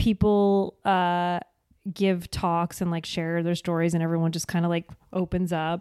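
The very clean recording, with a silent background, captures a woman of medium pitch with a dark, mellow tone and a slight New Jersey accent. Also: dry, close sound with no echo. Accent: faint New Jersey accent on certain words. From rural New Jersey. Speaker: actress and podcaster. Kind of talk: casual chat. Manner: frequent laughing.

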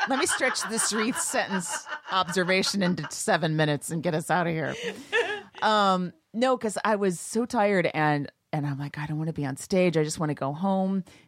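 Lively intonation carries an ordinary speaking voice. The pace stays moderate. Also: woman, medium pitch for a woman. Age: 50s. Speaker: comedian and podcast host. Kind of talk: casual chat, comedic banter.

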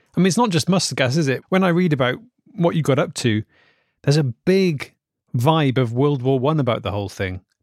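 A man with a fairly high voice and a British accent, fairly quick and lively in intonation, dry and close with no echo, on a very clean recording against a silent background. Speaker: podcast host. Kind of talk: comedy podcast hosting with interview sketches.

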